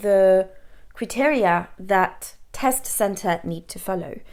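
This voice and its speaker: A woman speaks in a French accent at a very slow pace. The recording is very clean, with a silent background. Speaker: English teacher and language examiner. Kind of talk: educational talk to camera.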